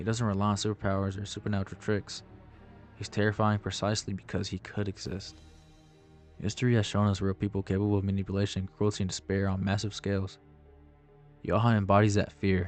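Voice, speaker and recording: With music in the background, a man speaks at a fairly low pitch. His intonation is monotone and flat, with long, frequent pauses. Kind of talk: anime video essay narration.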